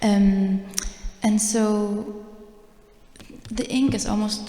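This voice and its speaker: There is noticeable background noise as a woman speaks in a fairly high voice. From Germany (Vietnamese heritage). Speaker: artist. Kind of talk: artist talk.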